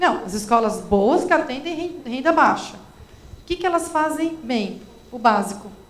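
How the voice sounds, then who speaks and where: Amid noticeable background noise and audible room echo, a woman with a São Paulo accent speaks at a fairly slow pace and a high pitch, with very wide pitch swings and big swings in loudness. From São Paulo, Brazil. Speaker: education expert. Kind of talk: lecture Q&A.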